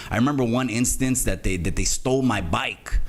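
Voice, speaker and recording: Noticeable background noise and audible room echo accompany a man speaking with lively intonation. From Salinas, California. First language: Spanish. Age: 40s. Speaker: YouTuber telling his life story. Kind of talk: casual interview chat. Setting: live stream.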